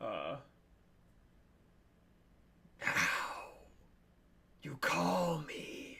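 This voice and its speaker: A soft-spoken, put-on character voice hisses with a raspy, menacing tone. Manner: menacing, whispered.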